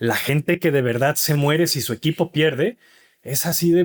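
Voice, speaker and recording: In a Mexican accent, a man speaks at a moderate pace with a fairly high pitch, the sound dry and close with no echo on a very clean recording with a silent background. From Mexico (Mexico City, Monclova). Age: 40s. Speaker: author and father. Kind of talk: interview conversation.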